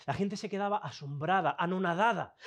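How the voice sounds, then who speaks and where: His intonation is lively. The man keeps a moderate pace. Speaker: preacher. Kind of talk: sermon. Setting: church with a congregation, also streamed online. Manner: animated, conversational, direct appeals to the congregation; informal and lively, mixes colloquial asides into Bible teaching.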